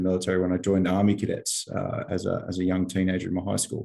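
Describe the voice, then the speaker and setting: With an Australian accent, a man speaks in a very deep, low pitch and a dark, mellow tone. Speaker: army veteran. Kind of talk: interview.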